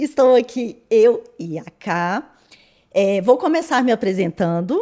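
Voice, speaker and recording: Speaking at a very slow pace, a woman uses a fairly high pitch with very wide pitch swings and a dark, mellow tone. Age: 40s. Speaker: podcast co-host, amateur runner, nutrition student. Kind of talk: podcast intro, casual chat.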